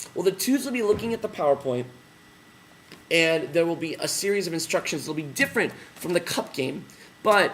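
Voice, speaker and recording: A man speaks loudly. His intonation is lively. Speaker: teacher trainer. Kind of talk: tutorial. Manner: casual with fillers.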